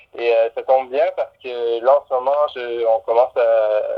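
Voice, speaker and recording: A man with a Quebec accent, medium pitch, ordinary pitch variation and a fairly slow pace. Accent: Québécois. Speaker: musician. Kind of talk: casual interview. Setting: phone call. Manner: halting.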